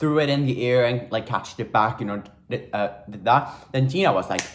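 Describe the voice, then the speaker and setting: Animated and somewhat breathy, a man with a non-native accent speaks at a moderate pace with lively intonation. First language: not English. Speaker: YouTuber. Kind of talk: casual chat.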